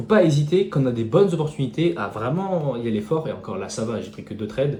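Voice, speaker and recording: Over music in the background and audible room echo, a man of medium pitch talks at a very fast pace, with very wide pitch swings and big swings in loudness. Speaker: day trader. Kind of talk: tutorial. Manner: mumbling.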